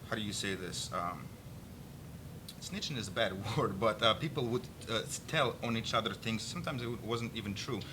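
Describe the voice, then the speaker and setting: A man's medium-pitched voice with a bright, sharp tone and a Russian accent, long, frequent pauses, and audible room echo. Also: ordinary pitch variation. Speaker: political activist and army veteran. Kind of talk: political interview discussion. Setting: studio. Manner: halting.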